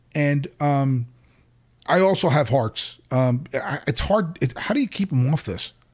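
With an American accent, a man talks at a fairly slow pace in a somewhat breathy voice. His pitch sits fairly high, and his intonation is lively. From New Jersey, US. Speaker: podcast host. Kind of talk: casual chat. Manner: animated.

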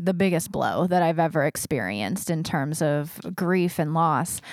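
A woman with an unremarkable speaking voice, fairly low in pitch, at a moderate pace, in a very clean recording with a silent background. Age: 30s. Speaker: podcast host. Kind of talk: casual interview conversation.

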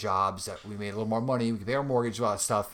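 Talking very fast with a New York accent, a man keeps a fairly low pitch and fairly even intonation. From Long Island, New York. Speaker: bassist and father. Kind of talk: casual interview.

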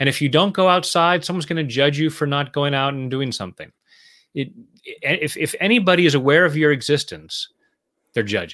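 Here is a man with an ordinary speaking voice and fairly high pitch. His pitch varies in an ordinary way while his loudness swings widely. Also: very clean recording, silent background. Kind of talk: guided meditation (tapping round). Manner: calm, slow, soothing, gentle.

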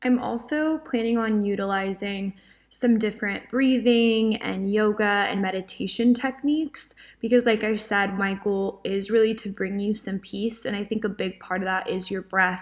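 A woman with a normal speaking voice talks at a moderate pace, her fairly high pitch held in a fairly even intonation. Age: 20s. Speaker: podcast host. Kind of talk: devotional podcast monologue. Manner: casual.

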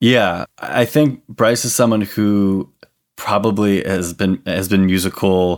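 On a very clean recording with a silent background, a man with an American accent speaks very slowly at a fairly low pitch with fairly even intonation. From Connecticut. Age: 20s. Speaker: musician. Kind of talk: casual chat. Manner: halting.

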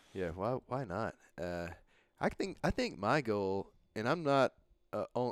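On a very clean recording with a silent background and a dry, close sound with no echo, a man with a normal speaking voice talks at medium pitch and a moderate pace. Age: 30s. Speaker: podcast host. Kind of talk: casual chat. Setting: bar.

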